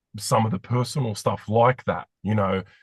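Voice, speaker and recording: A man speaks with an Australian accent at a fairly low pitch, his intonation fairly even. The sound is dry and close with no echo, over a quiet background. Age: 40s. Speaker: podcast host, former radio host. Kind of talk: interview.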